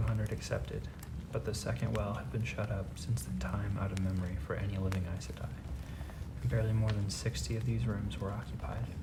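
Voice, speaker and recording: Soft-spoken and whispering at a fairly quick pace, the voice sits over noticeable background noise. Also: man. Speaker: audiobook reader, ASMR narrator. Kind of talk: whispered fantasy book reading for sleep. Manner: soft-spoken, whispered.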